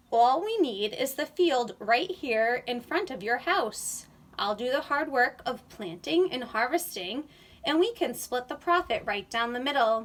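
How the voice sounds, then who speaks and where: A woman performs a put-on character voice at a high pitch. She keeps a moderate pace. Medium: read story.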